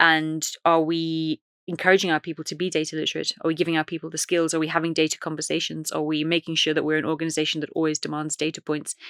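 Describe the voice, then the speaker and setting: In an Irish accent, a woman speaks at a very fast pace with a very deep, low pitch and flat, monotone intonation, the sound dry and close with no echo in a very clean recording with a silent background. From Ireland, west coast. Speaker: data and AI executive. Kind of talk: podcast interview.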